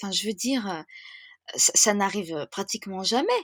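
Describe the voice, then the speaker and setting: The recording of a woman is very clean, with a silent background and a dry, close sound with no echo. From France. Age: 30s. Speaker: wedding planner. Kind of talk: podcast interview. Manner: hesitant, many fillers; enthusiastic.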